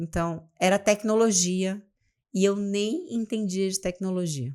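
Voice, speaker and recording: Over a very clean recording with a silent background, a dark, mellow voice moves at a very slow pace with ordinary pitch variation. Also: woman, medium pitch for a woman. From Amapá, northern Brazil. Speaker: business mentor. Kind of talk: podcast interview.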